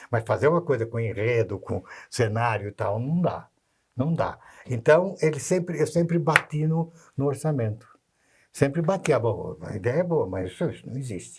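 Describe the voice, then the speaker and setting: A man with a fairly high, somewhat breathy voice speaks at a moderate pace with lively intonation. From Brazil, Santos (São Paulo state). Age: 80s+. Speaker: author, children's writer. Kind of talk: casual interview chat. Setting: videocast studio. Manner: halting, many restarts and repetitions.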